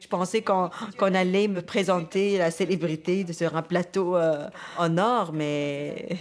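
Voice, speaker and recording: A woman speaks in a Tunisian accent. Her voice is fairly low. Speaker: comedian. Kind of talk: interview. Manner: halting.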